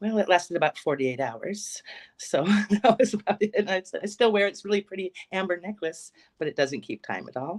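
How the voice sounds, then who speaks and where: A woman with a medium-pitched, normal speaking voice talks at a fairly quick pace in a General American accent, using lively intonation. Her loudness swings widely, and the sound is dry and close with no echo. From Alaska. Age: 50s. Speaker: psychic medium. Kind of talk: interview testimony.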